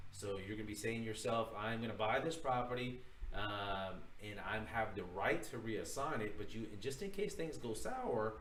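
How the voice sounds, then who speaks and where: Over noticeable background noise and audible room echo, a man talks at a medium pitch and a moderate pace, with ordinary pitch variation. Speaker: real estate broker teaching a course. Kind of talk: livestream tutorial. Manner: casual, filler-heavy.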